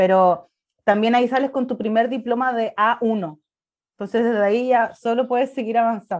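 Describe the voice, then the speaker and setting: A woman speaks with a Chilean accent. The background is quiet. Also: fairly high pitch for a woman, ordinary pitch variation, moderate pace. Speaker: travel blogger. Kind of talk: casual interview.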